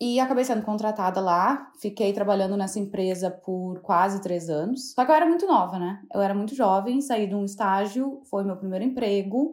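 At a moderate pace and with hardly any pauses, a woman speaks in a plain, everyday voice at a medium pitch, with ordinary pitch variation. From southern Brazil, Rio Grande do Sul (Santa Maria). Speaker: fashion stylist. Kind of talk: casual interview chat.

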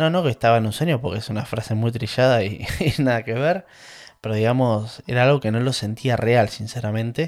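Delivered at a fairly quick pace, the speech carries a Rioplatense accent. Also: man, medium pitch for a man, ordinary pitch variation. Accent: Argentine Rioplatense Spanish. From Argentina, La Plata area (Manuel Gonnet). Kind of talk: personal storytelling monologue. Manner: casual with many fillers and repetitions.

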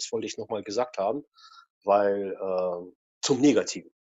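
With ordinary pitch variation, a man talks at a very slow pace. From Russia. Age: 40s. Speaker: photographer. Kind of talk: interview.

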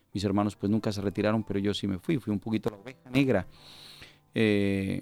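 A man with a Colombian accent speaks at a fairly low pitch with fairly even intonation. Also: very clean recording, silent background. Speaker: pastor. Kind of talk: testimony. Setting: studio.

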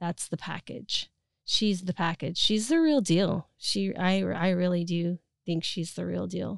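At a fairly slow pace, a woman with an American accent talks in a dry, close sound with no echo. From US West (Utah, then Oregon). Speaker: filmmaker. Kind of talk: interview.

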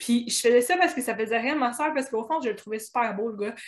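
A woman speaks with a Quebec accent at a fairly high pitch, her pitch varying in an ordinary way. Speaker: blogger. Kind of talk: casual chat.

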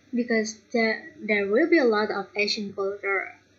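A fairly high-pitched, somewhat breathy woman at a very slow pace, with ordinary pitch variation. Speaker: podcast host. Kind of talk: casual chat.

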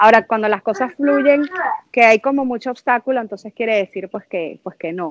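Speaking at a moderate pace with a Venezuelan accent, a woman uses a fairly high voice with ordinary pitch variation. Her loudness swings a lot, and the sound is dry and close with no echo. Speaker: mother sharing birth story. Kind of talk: casual interview, personal testimony.

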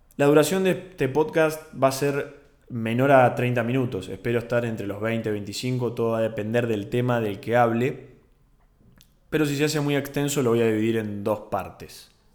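In a Rioplatense accent, a man talks at a moderate pace with medium pitch and ordinary pitch variation. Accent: Argentine Rioplatense Spanish. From Argentina, Bahía Blanca. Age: 20s. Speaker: podcast host, university student. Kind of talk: solo casual monologue.

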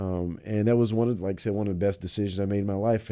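A man speaks with a fairly low pitch and a dark, mellow tone. His pitch varies in an ordinary way. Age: 30s. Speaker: political candidate. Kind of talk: radio interview.

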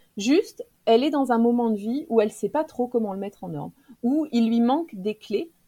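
Her voice is fairly high with a dark, mellow tone. The woman keeps a moderate pace and lively intonation. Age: 40s. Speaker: professional coach and trainer. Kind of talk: casual interview chat.

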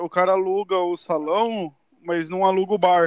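In a dry, close sound with no echo, a man with a high pitch speaks at a moderate pace in monotone, flat intonation. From interior of São Paulo state, Brazil. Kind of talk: casual chat.

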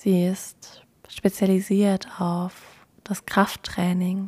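A woman speaks very slowly in a calm, somewhat breathy voice with a dark, mellow tone. Her intonation is monotone and flat. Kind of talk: guided meditation. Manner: calm, soft and unhurried.

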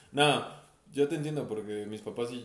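Noticeable background noise sits under a man speaking at medium pitch with ordinary pitch variation. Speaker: podcast co-host. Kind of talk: casual chat.

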